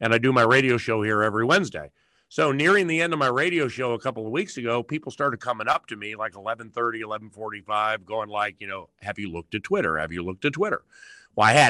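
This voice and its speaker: Very fast and lively in intonation, a bright, sharp voice with an American accent comes through dry and close with no echo over a quiet background. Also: man. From Washington DC area. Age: 50s. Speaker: sports play-by-play broadcaster and radio host. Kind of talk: interview. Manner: animated.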